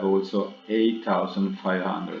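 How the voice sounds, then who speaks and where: Speaking very slowly in an Italian accent, a man keeps a fairly low pitch and fairly even intonation amid noticeable background noise. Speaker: trading analyst. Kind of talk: tutorial. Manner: halting.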